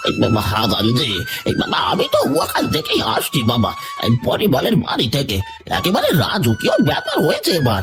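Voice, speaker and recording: A man in a cartoonish character voice at a moderate pace, with clear music in the background. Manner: drawling, with frequent sighs of "ah".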